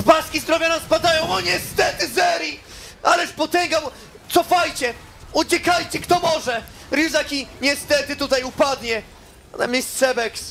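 Over noticeable background noise, a man speaks at an extremely high pitch in a playful, theatrical tone. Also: ordinary pitch variation. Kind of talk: esports match commentary. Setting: broadcast stream commentary. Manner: loud, fast, excitable, shouting with rising hype; playful, theatrical, joking with co-caster.

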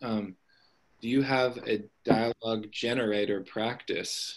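A man's normal speaking voice with an American accent, at medium pitch with fairly even intonation. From US South, Tennessee (Nashville area). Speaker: writing program director and novelist. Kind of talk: author interview. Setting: video call.

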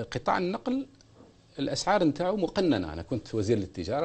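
The voice moves at a moderate pace with vocal fry. Its pitch swings very widely. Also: man. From Algeria, Ghardaia region (Metlili); Algeria. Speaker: former government minister. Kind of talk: TV interview. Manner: calm. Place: studio. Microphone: lapel.

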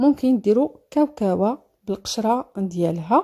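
A woman with a Moroccan accent speaks at a moderate pace, somewhat breathy, in a fairly high pitch with ordinary pitch variation and a dark, mellow tone. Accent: Moroccan Darija. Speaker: cooking video creator. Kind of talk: cooking tutorial.

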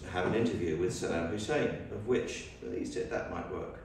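A man speaks in a fairly low voice. Strong room echo and light background noise are present. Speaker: guest, photojournalist. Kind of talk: public talk, storytelling. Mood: relaxed anecdotal. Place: church. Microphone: camera far.

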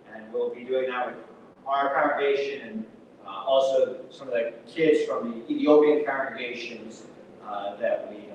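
Strong room echo and noticeable background noise surround a man's voice. He talks at a moderate pace. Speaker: minister. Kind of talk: church announcements. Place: church. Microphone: camera far.

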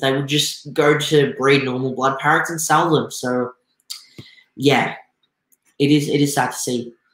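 A man speaks at a moderate pace in an Australian accent, leaving long, frequent pauses. Room echo is audible. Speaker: aquarium YouTuber; aquarium hobby streamer. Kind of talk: live stream talk. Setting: live stream with chat.

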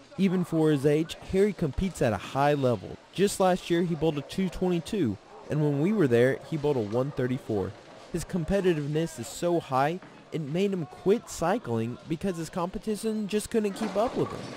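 With an unremarkable speaking voice, a man talks at a moderate pace in a fairly high pitch, his intonation lively. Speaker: TV sports reporter. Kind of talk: TV news report narration. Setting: TV news voiceover.

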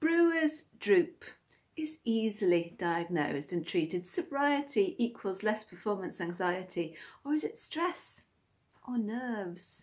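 Someone with a British accent speaks at a fairly slow pace in a somewhat breathy, playful tone. Their pitch swings very widely. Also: woman, fairly high pitch for a woman. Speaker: poet and video creator. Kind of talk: spoken word poem, rhyming and cheeky. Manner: playful, tongue-in-cheek, rhythmic. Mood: playful, cheeky. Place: home room. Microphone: phone near.

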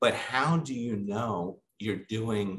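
Over light background noise, a man sounds enthusiastic, his intonation lively. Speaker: conference program chair. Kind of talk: casual chat. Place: office. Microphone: webcam.

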